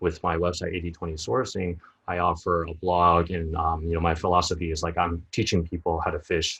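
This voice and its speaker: Someone with an American accent speaks at a fairly quick pace in a monotone, flat way. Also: man. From United States. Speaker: sourcing expert and summit organizer. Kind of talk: interview. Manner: frequent fillers (um, you know).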